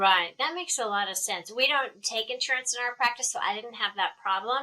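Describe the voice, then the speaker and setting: A woman's high-pitched voice with a slight Texan accent, bright and sharp in tone, with lively intonation at a fairly quick pace. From Texas. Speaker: dermatologist, interviewer. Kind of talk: casual professional interview.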